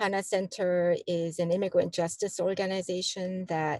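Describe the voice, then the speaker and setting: Woman with a Korean accent, medium pitch and moderate pace, dry, close sound with no echo over a quiet background. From South Korea, then Chicago from age 12. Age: 60s. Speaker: community organization director. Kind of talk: interview conversation. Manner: hesitant, many fillers.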